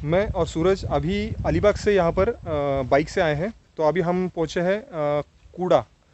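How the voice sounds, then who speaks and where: Fairly high in pitch, a man speaks at a fairly slow pace with fairly even intonation, in a dry sound with no echo and noticeable background noise. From Maharashtra, India. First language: Marathi (speaking Hindi). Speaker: travel vlogger. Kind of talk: travel vlog narration. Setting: outdoors at caves. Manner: halting, many fillers. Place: open country. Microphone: phone near.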